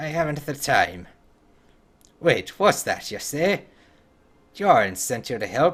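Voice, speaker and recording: In a put-on character voice, a man speaks gruffly at a fairly slow pace. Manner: gruff, impatient, brusque.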